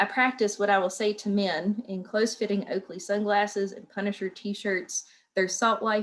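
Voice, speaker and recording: A woman's fairly quick speech at medium pitch, in an Appalachian accent. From southwestern Virginia, Appalachia. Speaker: writer and educator. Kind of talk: reading aloud.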